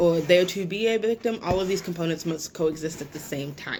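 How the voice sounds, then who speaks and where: Talking at a fairly quick pace, a woman with an unremarkable speaking voice keeps a medium pitch and ordinary pitch variation. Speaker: self-defense instructor. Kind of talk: webinar presentation. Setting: online webinar. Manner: many filler words.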